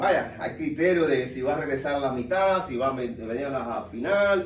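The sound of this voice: With audible room echo around him, a man talks at a moderate pace using lively intonation.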